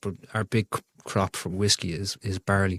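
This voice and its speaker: Recorded very cleanly against a silent background, a man with an Irish accent speaks in a fairly low, flat monotone. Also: dry, close sound with no echo. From Ireland. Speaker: firefighter and whiskey enthusiast. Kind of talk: casual chat.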